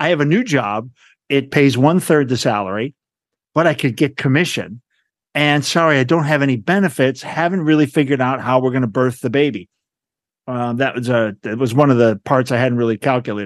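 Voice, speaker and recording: A man with a plain, everyday voice talks at a fairly quick pace, at medium pitch with ordinary pitch variation. The background is quiet. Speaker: podcast host and nonprofit director. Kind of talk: interview conversation.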